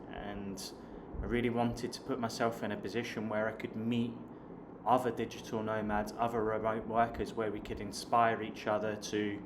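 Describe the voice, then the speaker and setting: In a southern English accent, a man speaks at a moderate pace and a medium pitch with monotone, flat intonation, amid audible room echo and noticeable background noise. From southern England (Hampshire). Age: 30s. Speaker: online business coach and vlogger. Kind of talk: casual vlog talk to camera. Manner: hesitant, with fillers and repeated words.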